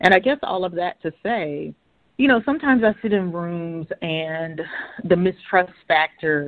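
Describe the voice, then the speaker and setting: A woman with an ordinary speaking voice talks at a moderate pace, her fairly low pitch carried by lively intonation. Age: 40s. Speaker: philosopher and bioethicist. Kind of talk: interview.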